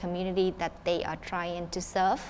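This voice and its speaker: A woman with a Vietnamese accent speaks at a moderate pace and medium pitch. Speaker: student council member. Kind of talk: town hall panel discussion. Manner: halting.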